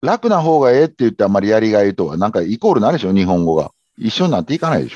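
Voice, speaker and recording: A man with a Kansai accent talks very fast in a fairly low, dark and mellow voice with very wide pitch swings, recorded dry and close with no echo. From Japan, Kobe (Kansai). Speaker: habit-formation consultant. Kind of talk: interview conversation.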